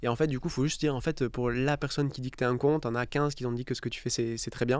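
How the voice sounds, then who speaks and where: Very fast, fairly even speech from a man at a medium pitch. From southern France, Istres near Marseille. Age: 30s. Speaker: startup founder and CEO. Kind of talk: podcast interview. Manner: casual, filler-heavy.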